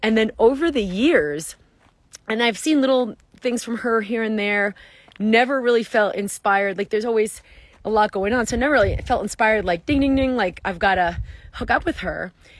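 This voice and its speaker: A woman at a fairly quick pace, in a dry sound with no echo against a quiet background. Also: ordinary pitch variation. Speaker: wellness coach. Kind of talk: casual vlog chat. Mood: enthusiastic, upbeat. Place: open country. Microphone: phone near.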